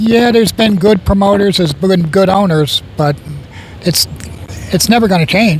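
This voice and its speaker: Against noticeable background noise, a man talks at a moderate pace in a high voice. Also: ordinary pitch variation, very even loudness. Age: 70s. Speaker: veteran race car driver. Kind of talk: trackside interview.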